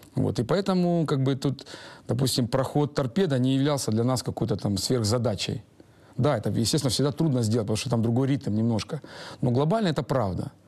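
A dark, mellow tone moves at a fairly quick pace with ordinary pitch variation and very even loudness over a quiet background. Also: man, medium pitch for a man. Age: 40s. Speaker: football coach. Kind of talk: interview. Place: hall.

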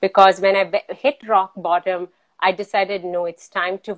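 A woman talks at a moderate speed, and the background is quiet. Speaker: remote guest. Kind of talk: interview answer. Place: home room. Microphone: video call.

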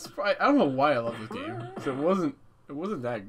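His pitch swinging very widely, a man speaks at a fairly quick pace. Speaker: gaming channel host. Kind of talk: gameplay commentary. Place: home room.

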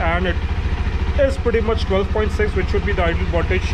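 A man talks at a moderate pace while noticeable background noise carries on. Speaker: motorbike owner vlogger. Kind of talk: tutorial. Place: street. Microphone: phone near.

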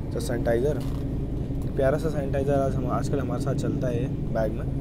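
Loud background noise behind a man at a moderate pace, the sound dry with no echo. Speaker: train travel vlogger. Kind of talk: casual vlog chat, food review. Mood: relaxed, playful. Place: train.

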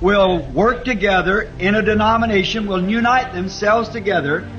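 Music plays in the background as a man speaks at a high pitch with ordinary pitch variation. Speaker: preacher giving a sermon. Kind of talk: sermon.

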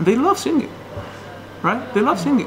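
Over noticeable background noise, a man with a Chinese accent talks with very wide pitch swings. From China. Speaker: opera singer. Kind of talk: interview answer.

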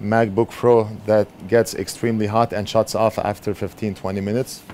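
Over light background noise, a man speaks at a moderate pace in a fairly low pitch. His intonation is monotone and flat. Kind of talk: casual vlog chat. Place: workshop. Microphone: camera far.

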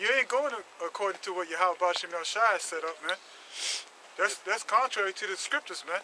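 With a raised, projected voice and a high pitch, a man talks at a fairly quick pace with long, frequent pauses and ordinary pitch variation, the sound dry with no echo and light background noise behind him. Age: 40s. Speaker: street preacher. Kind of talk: sermon. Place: street. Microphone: phone near.

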